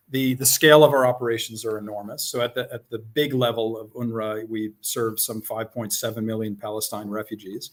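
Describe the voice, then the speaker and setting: A man with an American accent talks at a fairly quick pace with hardly any pauses. His medium-pitched voice keeps a fairly even intonation. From upstate New York. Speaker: UN humanitarian official. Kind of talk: interview. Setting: live stream. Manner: hesitant, many fillers.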